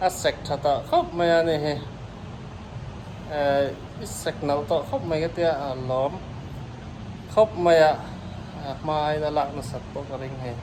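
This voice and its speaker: Through audible room echo and noticeable background noise, a man with a fairly high pitch speaks at a fairly slow pace with fairly even intonation and long, frequent pauses. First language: Mizo. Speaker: vlogger. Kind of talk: casual chat. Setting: gym.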